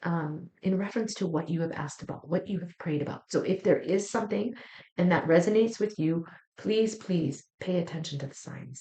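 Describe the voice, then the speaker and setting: A woman speaks at a fairly quick pace in a fairly low, somewhat breathy voice with ordinary pitch variation. Her tone is warm and soothing, dark and mellow. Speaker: psychic tarot reader. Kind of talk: weekly astrology tarot reading. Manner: warm, soothing.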